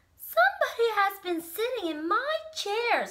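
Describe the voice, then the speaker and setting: In a put-on character voice, a woman squeaks at an extremely high pitch. Her pace is moderate. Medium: read story. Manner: gruff, indignant.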